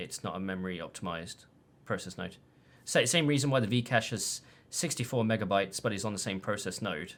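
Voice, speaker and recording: In a British accent, a man speaks at a fairly quick pace. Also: very clean recording, silent background. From Britain. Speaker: tech analyst. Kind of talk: casual chat. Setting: live stream.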